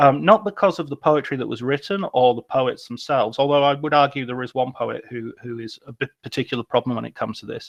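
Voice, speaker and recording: With hardly any pauses, a man talks very fast at a fairly high pitch, with ordinary pitch variation and big swings in loudness. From northern England, Cumbria. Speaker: literature professor and film critic. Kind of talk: lecture. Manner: halting.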